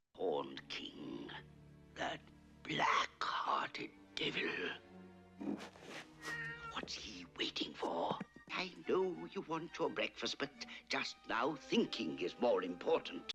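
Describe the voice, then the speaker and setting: A man whispers very slowly in a cartoonish character voice while clear music plays in the background. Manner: grave, measured.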